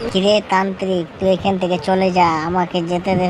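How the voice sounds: A cartoonish character voice, female-sounding, at medium pitch for a woman, with monotone, flat intonation, a moderate pace and clear background noise.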